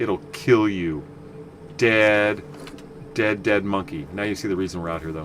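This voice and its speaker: Over noticeable background noise, a man with a fairly low voice talks at a fairly slow pace with lively intonation and long, frequent pauses. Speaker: video game streamer. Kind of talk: gameplay commentary. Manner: casual, rambling.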